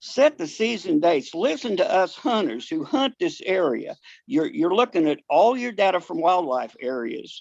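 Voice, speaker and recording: A man with an American accent and a high pitch, very wide pitch swings, a moderate pace, and a quiet background. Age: 70s. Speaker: duck hunter, public commenter. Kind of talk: public comment at meeting. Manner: halting, repeats words.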